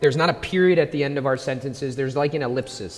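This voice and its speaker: A man with a plain, everyday voice, fairly high in pitch, with ordinary pitch variation. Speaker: pastor. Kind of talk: sermon intro and prayer in church. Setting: church. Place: stage. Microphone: handheld.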